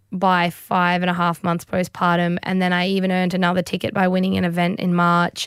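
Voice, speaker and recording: A woman with an Australian accent, dry and close with no echo, in a very clean recording with a silent background. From Australia, Brisbane. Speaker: professional CrossFit athlete. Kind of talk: interview.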